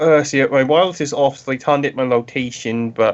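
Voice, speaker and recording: At a very fast pace, a man talks with a fairly high pitch and ordinary pitch variation. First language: not English. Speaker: tabletop role-playing game player. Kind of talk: casual game chat. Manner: halting.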